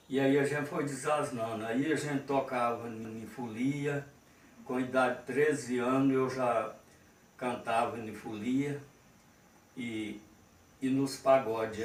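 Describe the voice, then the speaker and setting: A man at a medium pitch, with fairly even intonation and a fairly slow pace, amid noticeable background noise and audible room echo. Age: 60s. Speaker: sertaneja musician and farm worker. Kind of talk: interview testimony. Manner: halting.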